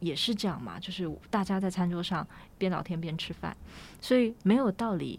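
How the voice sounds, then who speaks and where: A woman with a Taiwanese accent speaks at a moderate pace. Her pitch is medium, with ordinary pitch variation. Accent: Taiwanese Mandarin. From Taiwan, Taipei (Wugu/Luzhou area). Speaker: writer and designer. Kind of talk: interview conversation. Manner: halting.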